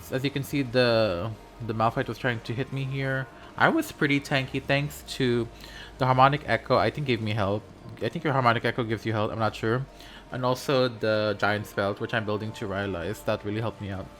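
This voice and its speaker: Music plays in the background while a man with a non-native accent speaks at a fairly quick pace. His pitch is medium, with ordinary variation. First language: not English. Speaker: gaming content creator. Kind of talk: gameplay commentary. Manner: animated.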